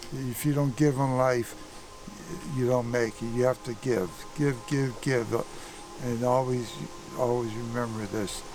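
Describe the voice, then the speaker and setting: A man talks at a fairly slow pace with a medium pitch, fairly even intonation, and long, frequent pauses. Music plays in the background. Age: 80s+. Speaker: trail helper. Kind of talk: speech to camera. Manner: halting.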